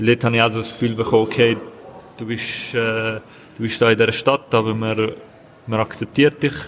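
Against noticeable background noise, a man speaks at a moderate pace and medium pitch in a monotone, flat intonation. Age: 20s. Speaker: local politician. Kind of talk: interview. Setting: café at train station.

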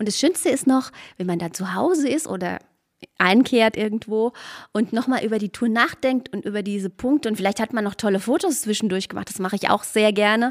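Speaking fairly quickly in an unremarkable speaking voice, a woman has a fairly high pitch and ordinary pitch variation. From Spessart, Lower Franconia, Bavaria. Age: 50s. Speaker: hiking association director. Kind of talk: casual interview.

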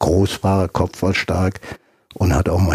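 Somewhat breathy and very deep, a man's voice moves at a moderate pace in a dry, close recording with no echo. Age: 70s. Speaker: retired footballer and scout. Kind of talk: interview.

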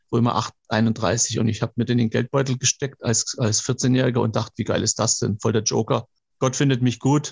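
A man speaks at a moderate pace, his voice somewhat breathy. His loudness stays very even. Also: medium pitch for a man. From Swabia, southern Germany. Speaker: motivational speaker. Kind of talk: casual interview. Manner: animated.

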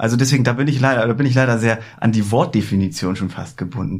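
The voice moves at a very fast pace and sounds somewhat breathy. Its pitch varies in an ordinary way. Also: man. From northern Germany, Hamburg. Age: 30s. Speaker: card magician. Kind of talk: casual chat. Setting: studio.

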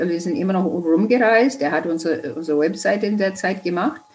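Over noticeable background noise, a woman with a fairly low voice speaks at a fairly quick pace. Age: 70s. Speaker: quilting teacher and author. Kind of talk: interview.

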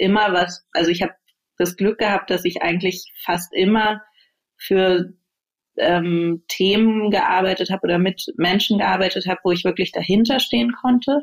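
Her pitch is medium, and this woman's voice shows ordinary pitch variation. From Berlin, Germany. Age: 30s. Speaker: managing director. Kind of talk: interview. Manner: hesitant, many fillers.

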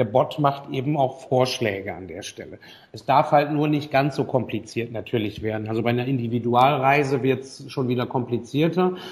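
A man with a medium pitch speaks at a moderate pace, somewhat breathy in sound. His loudness swings widely while his pitch variation stays ordinary. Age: 40s. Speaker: online marketing consultant. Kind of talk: interview. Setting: Skype call.

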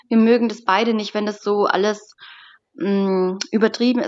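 A woman talks at medium pitch and a moderate pace in an ordinary speaking voice, her intonation fairly even. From southern Germany, Stuttgart area, Sicilian parents. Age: 20s. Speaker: bride. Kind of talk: interview.

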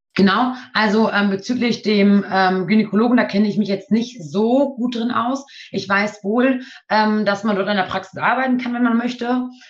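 A woman speaks at a moderate pace in a medium pitch, her intonation fairly even and her voice somewhat breathy. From Nienburg, Lower Saxony. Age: 20s. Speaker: trainee midwife. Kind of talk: interview.

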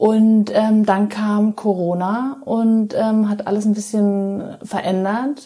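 A woman's dark, mellow, somewhat breathy voice, monotone and flat, at a very slow pace with hardly any pauses. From Germany, Munich (Bavaria). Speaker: pastry chef and chocolatier. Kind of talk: casual interview.

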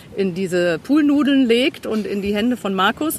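Over noticeable background noise, a woman with a medium pitch talks at a moderate pace with lively intonation. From Cologne, Germany. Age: 50s. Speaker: therapy client on health retreat. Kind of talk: casual chat.

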